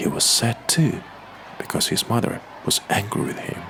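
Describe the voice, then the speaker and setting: A soft-spoken man at a moderate pace, with noticeable background noise. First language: Russian. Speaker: Russian-speaking voice actor and narrator. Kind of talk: audiobook reading of a simplified classic novel, ASMR. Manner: soft-spoken, very quiet.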